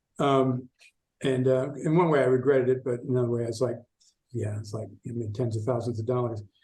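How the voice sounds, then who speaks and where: Somewhat breathy and dark, mellow in tone, a man talks at a very fast pace with an American accent. His intonation stays fairly even. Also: medium pitch for a man. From US Midwest, Chicago. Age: 60s. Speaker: esoteric researcher and writer. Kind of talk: podcast interview.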